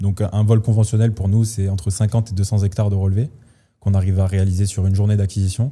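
Speaking at a very fast pace, a man with a dark, mellow tone and fairly low pitch sounds somewhat breathy, keeping very even loudness and a monotone, flat intonation. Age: 20s. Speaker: startup co-founder, surveying engineer. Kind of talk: casual interview.

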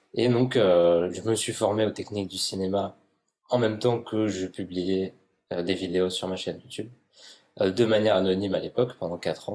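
Very deep, low pitch from a man, fairly even intonation and a moderate pace. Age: 20s. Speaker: YouTuber and ASMR artist. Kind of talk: interview conversation. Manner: halting.

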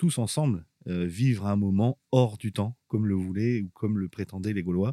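Speaking at a fairly slow pace, a man with a fairly low pitch and a dark, mellow tone is heard in a dry, close sound with no echo. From northern France, Abbeville. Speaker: archaeological park director. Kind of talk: casual interview. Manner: hesitant, with fillers.

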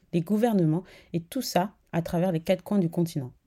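This woman has a fairly low pitch and a dark, mellow tone. Her intonation is lively. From West Africa. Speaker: podcast host. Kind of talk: scripted narration; interview.

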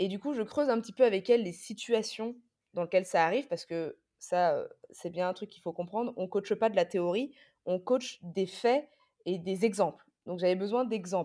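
Heard on a very clean recording with a silent background, a woman speaks at medium pitch with a dark, mellow tone. Her loudness swings widely, while her pitch varies in an ordinary way at a moderate pace. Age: 20s. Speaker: fitness coach and trainer. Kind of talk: interview.

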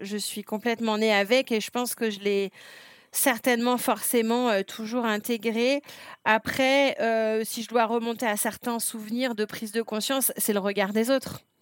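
A woman with a fairly high pitch speaks at a fairly slow pace. Her intonation is monotone and flat, and the sound is dry and close with no echo. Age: 40s. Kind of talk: interview testimony. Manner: hesitant, many fillers.

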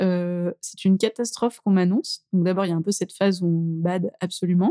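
A woman's dark, mellow voice at medium pitch, fairly quick with hardly any pauses, dry and close with no echo. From France, Drôme near Valence. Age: young. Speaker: entrepreneur. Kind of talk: interview. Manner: animated.

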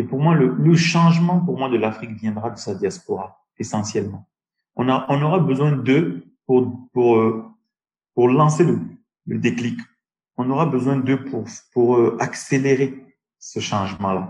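A man with a medium-pitched, somewhat breathy voice talks at a fairly slow pace with lively intonation and long, frequent pauses. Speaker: tech entrepreneur. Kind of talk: interview. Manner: halting.

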